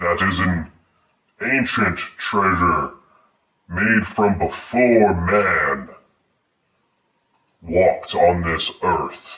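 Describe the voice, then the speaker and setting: A man's put-on character voice, fairly low in pitch, at a very slow pace with long, frequent pauses. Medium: actual play. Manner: formal, calls the hero stranger.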